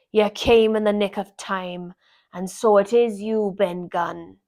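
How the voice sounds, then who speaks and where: Using a put-on character voice at a medium pitch, a woman speaks at a fairly slow pace on a very clean recording with a silent background. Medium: read story. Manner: sly, rough sailor talk.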